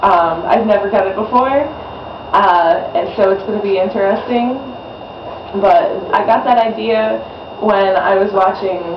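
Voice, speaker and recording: Fairly slow speech broken by long, frequent pauses, over noticeable background noise. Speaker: vlogger with Lyme disease. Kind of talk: casual vlog. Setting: outdoors. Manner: halting with many fillers.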